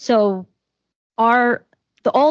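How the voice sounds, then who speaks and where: The recording is dry and close with no echo, carrying a woman's fairly high-pitched voice with ordinary pitch variation. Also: quiet background. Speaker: compliance professional at a pharmaceutical company. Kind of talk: panel discussion. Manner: loud.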